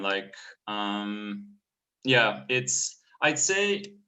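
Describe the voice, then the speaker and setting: A man with a Bulgarian accent speaks at a fairly low pitch. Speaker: painter and clothing brand artist. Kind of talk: casual interview.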